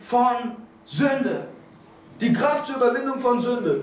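A man speaks at a fairly slow pace in an animated tone, his pitch extremely high, with audible room echo and light background noise. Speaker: preacher. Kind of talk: sermon. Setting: church. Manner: animated, fervent preaching; restless, moves around while speaking. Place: church.

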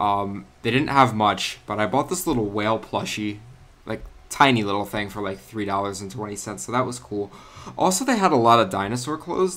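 Music plays in the background as a man talks at a fairly quick pace. His medium-pitched voice carries lively intonation. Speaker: gaming youtuber. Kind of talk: gameplay commentary. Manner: casual, with many fillers.

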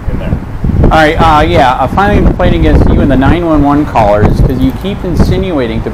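The pace is fairly quick. Loud background noise runs underneath. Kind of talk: confrontational conversation. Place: street.

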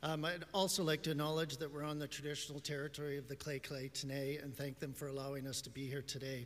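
A man talks at a fairly quick pace with fairly even intonation. Light background noise sits underneath. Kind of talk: conference speech. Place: hall. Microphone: podium.

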